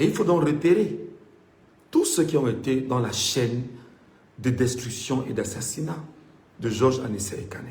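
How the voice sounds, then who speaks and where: Somewhat breathy and animated, a man speaks at a moderate pace with audible room echo. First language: Mbimba (Cameroonian language) (speaking French). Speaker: political commentator. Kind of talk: political monologue.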